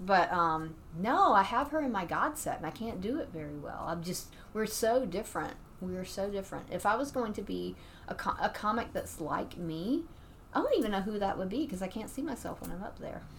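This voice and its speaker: The speaker moves at a fairly quick pace with lively intonation over noticeable background noise. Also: woman, medium pitch for a woman. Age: 50s. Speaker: stand-up comedian. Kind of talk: casual chat.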